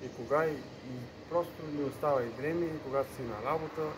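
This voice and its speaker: The man talks at a moderate pace with fairly even intonation. Noticeable background noise sits behind him. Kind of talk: casual vlog chat. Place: street.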